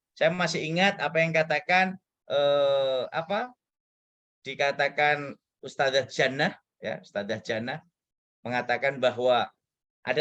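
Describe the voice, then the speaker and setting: A man at a moderate pace, his intonation lively, with long, frequent pauses. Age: 40s. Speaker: guest lecturer. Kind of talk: lecture. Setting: guest lecture to students. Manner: animated.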